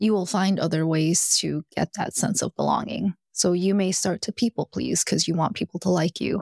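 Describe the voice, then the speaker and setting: A woman's fairly low voice with an American accent, at a moderate pace with hardly any pauses and very even loudness, in a dry, close sound with no echo. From US South, Alabama. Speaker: executive coach. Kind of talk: interview. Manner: animated.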